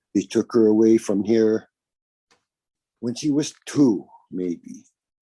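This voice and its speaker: A medium-pitched man with a dark, mellow tone and ordinary pitch variation talks very slowly, with a dry, close sound and no echo. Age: 60s. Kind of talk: interview.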